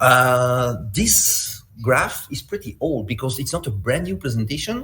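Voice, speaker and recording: Noticeable background noise runs under the recording. A man with a Belgian accent speaks at a medium pitch. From Belgium. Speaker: malware analyst and security instructor. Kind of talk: conference talk. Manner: halting.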